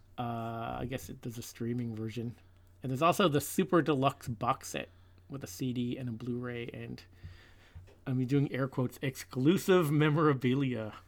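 Using a normal speaking voice, a man talks at a moderate pace with a medium pitch, ordinary pitch variation and big swings in loudness. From Newfoundland, Canada. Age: 40s. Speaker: podcast co-host, music fan. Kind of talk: casual chat.

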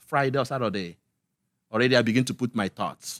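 Over a silent background in a very clean recording, a man with a Nigerian accent speaks at a medium pitch. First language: Igbo. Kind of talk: casual interview.

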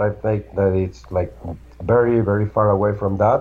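Spoken at a fairly quick pace with a Spanish accent. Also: man. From Argentina. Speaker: security researcher, tech executive. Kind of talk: interview.

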